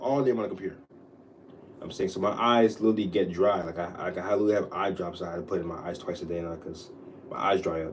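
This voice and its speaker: A man speaks at a very fast pace with a very deep, low pitch and ordinary pitch variation. His loudness swings widely, and the room echo is audible. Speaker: livestreamer. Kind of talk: casual livestream chat. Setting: home livestream. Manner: stuttering.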